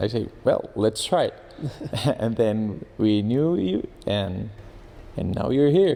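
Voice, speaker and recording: A man speaks with a Spanish accent in a dark, mellow tone at a fairly slow pace. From Colombia. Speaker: engineer and trading student. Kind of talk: testimonial interview. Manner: halting with repetitions.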